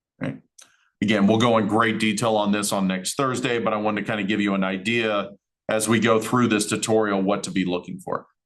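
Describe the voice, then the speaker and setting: A man talks at a fairly quick pace with a fairly low pitch. His intonation stays fairly even. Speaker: college instructor. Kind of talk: lecture. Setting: recorded class session. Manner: fast.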